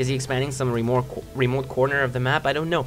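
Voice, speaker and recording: The man's speech races at a very fast pace. Noticeable background noise sits behind it. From Romania. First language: Romanian. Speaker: video game commentator. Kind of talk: live game commentary. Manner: casual, hesitant with many fillers.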